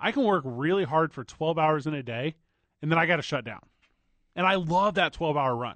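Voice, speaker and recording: A man with a plain, everyday voice speaks fairly quickly at a fairly high pitch with lively intonation. The sound is dry and close with no echo, and the background is quiet. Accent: American. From US Midwest. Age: 30s. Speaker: sports radio host. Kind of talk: sports talk radio. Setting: radio studio.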